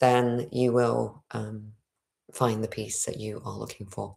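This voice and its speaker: This speaker is a woman. She talks fairly slowly. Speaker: spiritual livestreamer. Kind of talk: livestream monologue. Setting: home livestream. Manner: throat clearing.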